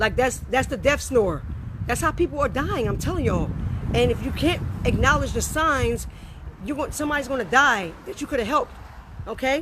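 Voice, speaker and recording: Over noticeable background noise, a woman talks at a fairly quick pace broken by long, frequent pauses. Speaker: health educator. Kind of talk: tutorial. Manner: fast; animated.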